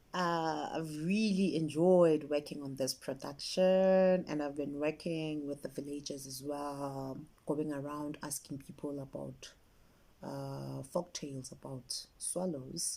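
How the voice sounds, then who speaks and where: At a very slow pace, a woman talks with a very deep, low pitch, a dark, mellow tone and fairly even intonation. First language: isiZulu. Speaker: children's author and story collector. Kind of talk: interview talk about her work.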